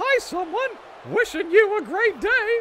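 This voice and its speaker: An extremely high, squeaky put-on character voice at a fairly slow pace, with clear background noise. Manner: cheerful, friendly.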